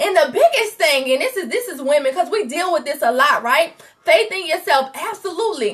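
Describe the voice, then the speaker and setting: Loud and animated, a woman speaks at an extremely high pitch with very wide pitch swings and a moderate pace. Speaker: faith coach. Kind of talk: motivational livestream talk. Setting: Facebook live stream.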